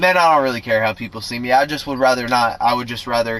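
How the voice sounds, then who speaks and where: A man at a very fast pace, with ordinary pitch variation and noticeable background noise. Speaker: vlogger. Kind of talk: casual vlog monologue. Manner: frequent fillers like um and like.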